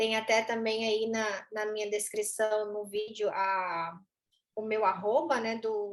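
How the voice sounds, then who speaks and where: A woman's fairly high voice at a very slow pace. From Goiás, central Brazil (Goiânia). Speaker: veterinary neurologist and university professor. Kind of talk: educational conversation.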